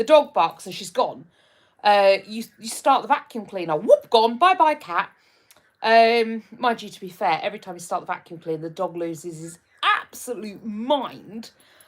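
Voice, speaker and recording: A woman with a Hertfordshire accent, fairly high in pitch, at a fairly slow pace, with very wide pitch swings. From England, Hertfordshire. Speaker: live streamer. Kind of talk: casual chat reading live comments. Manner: hesitant, many fillers.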